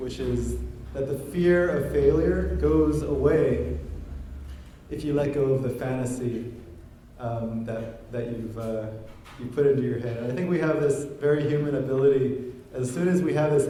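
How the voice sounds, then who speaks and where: A man speaks at a moderate pace in a medium pitch, with ordinary pitch variation and audible room echo. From Guam. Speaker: blogger and speaker. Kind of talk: talk to a live audience. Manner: halting, many fillers.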